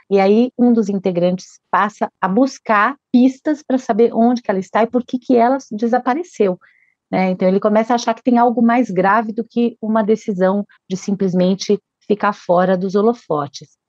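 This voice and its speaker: With a plain, everyday voice, a woman speaks in a fairly high pitch with ordinary pitch variation, the sound dry and close with no echo. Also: moderate pace. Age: 50s. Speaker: children's book author. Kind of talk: interview.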